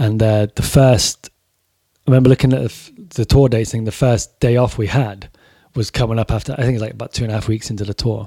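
A man speaks at a very fast pace in an American accent, his tone dark and mellow and somewhat breathy. His intonation stays fairly even. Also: medium pitch for a man, dry, close sound with no echo. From Corby, England. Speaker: author and former touring metal musician. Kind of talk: casual podcast chat. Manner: casual, swearing.

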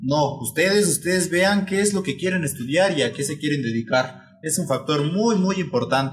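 A man with a normal speaking voice and fairly high pitch talks at a moderate pace with ordinary pitch variation and hardly any pauses. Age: 19. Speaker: new podcast member, engineering student. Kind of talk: casual chat.

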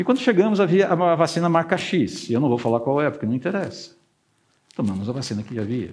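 A man speaks very fast at a fairly high pitch, with vocal fry and very wide pitch swings. Audible room echo surrounds him. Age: 50s. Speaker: pastor. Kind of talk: sermon.

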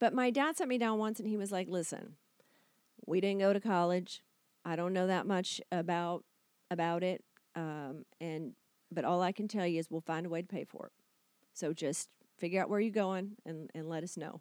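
Leaving long, frequent pauses, a woman talks at a moderate pace and a medium pitch with ordinary pitch variation, the sound dry and close with no echo. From Kentucky. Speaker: actress and TV writer. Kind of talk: casual chat.

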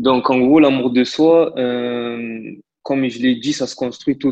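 Close, dry sound with no echo marks this clip. The speaker's intonation is fairly even. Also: man. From Marseille, southern France. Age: 20s. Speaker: interpreter. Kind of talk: casual interview conversation. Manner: hesitant, many fillers and repetitions.

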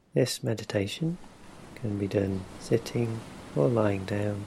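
A man with a fairly low pitch speaks in a calm tone, somewhat breathy, at a fairly slow pace. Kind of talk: guided meditation. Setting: ocean wave sounds in background. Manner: slow, calm, soft-spoken, with long pauses between instructions.

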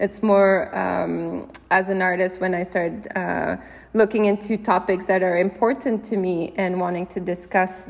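In a Quebec accent, a woman speaks at a moderate pace and medium pitch with fairly even intonation. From Canada, Quebec (Gatineau, Ottawa suburbs) and Brittany, France. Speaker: artist and filmmaker. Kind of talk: interview. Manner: halting, many fillers and repetitions.

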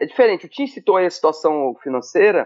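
A man talks with very wide pitch swings. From Brazil, Maranhão (São Luís). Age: 40s. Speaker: former footballer. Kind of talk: casual chat. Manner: halting.

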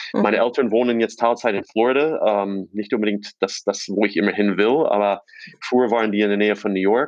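Fairly even intonation holds throughout speech that moves along at a fairly quick pace. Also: man, fairly low pitch for a man. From US East Coast, born in Czechoslovakia. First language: English (Slovak as a small child) (speaking German). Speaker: fintech founder. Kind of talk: interview. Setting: remote call.

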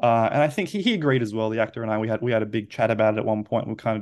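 A man speaks at a medium pitch with ordinary pitch variation. Behind him the background is quiet. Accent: Australian. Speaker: film director. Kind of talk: interview. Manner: halting.

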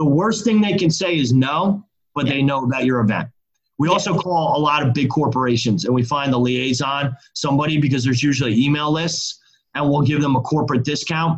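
A somewhat breathy man at a fairly high pitch and fairly quick pace, with ordinary pitch variation and very even loudness. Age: 40s. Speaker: festival organiser and marketing agency founder. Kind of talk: interview.

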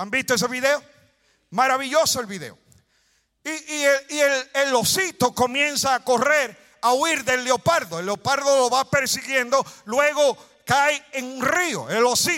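A man speaks in a raised, projected voice at an extremely high pitch, with ordinary pitch variation and a fairly slow pace. His tone is bright, sharp and animated. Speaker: preacher. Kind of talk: sermon. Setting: church with congregation.

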